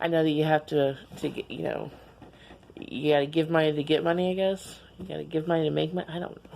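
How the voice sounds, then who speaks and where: The voice races at a very fast pace in a flat monotone. Its loudness swings widely. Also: woman, very deep, low pitch for a woman. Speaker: vlogger. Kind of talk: casual vlog monologue. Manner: halting, repeating words.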